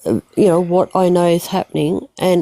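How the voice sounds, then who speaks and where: Recorded dry and close with no echo, a woman with an Australian accent speaks in a dark, mellow tone at a fairly low pitch with fairly even intonation. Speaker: livestream participant. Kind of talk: casual chat. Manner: halting.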